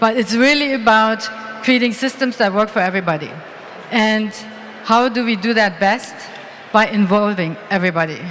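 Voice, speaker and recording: Speaking at a moderate pace with long, frequent pauses, a woman with a fairly high voice is heard over noticeable background noise and audible room echo. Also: ordinary pitch variation. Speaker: award presenter. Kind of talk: conference award presentation.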